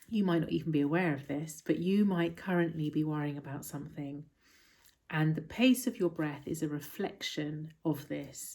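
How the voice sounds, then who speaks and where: A soft-spoken woman with a very deep, low voice and a dark, mellow tone talks calmly at a moderate pace with ordinary pitch variation. The recording is very clean, with a silent background. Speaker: mindfulness teacher. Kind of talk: talk to camera explaining mindfulness. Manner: soft-spoken, calm.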